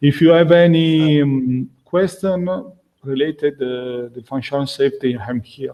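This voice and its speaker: A man with a non-native accent, fairly high-pitched, fairly slow, with ordinary pitch variation and big swings in loudness. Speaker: functional safety instructor. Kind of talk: webinar closing remarks. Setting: online webinar. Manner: halting, many fillers.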